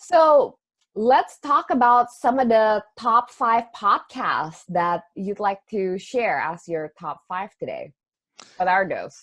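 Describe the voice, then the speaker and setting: A woman's fairly high voice in an Indonesian accent, with very wide pitch swings and a very slow pace. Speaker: astrology teacher and podcast host. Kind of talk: casual chat.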